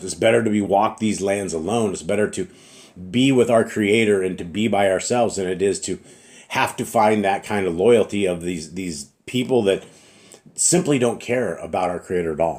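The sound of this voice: A man puts on a hoarse character voice, fairly low in pitch, at a moderate pace.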